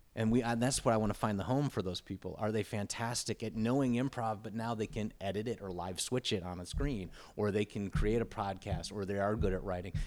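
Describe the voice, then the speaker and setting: Recorded very cleanly against a silent background, a man with a fairly low pitch and an unremarkable speaking voice talks at a fairly quick pace with hardly any pauses and fairly even intonation. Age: 40s. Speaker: improv comedian and teacher. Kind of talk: casual chat.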